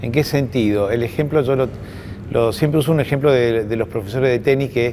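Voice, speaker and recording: A man speaks over noticeable background noise. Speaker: university official and moderator. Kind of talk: panel conversation. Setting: university event with audience. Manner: halting.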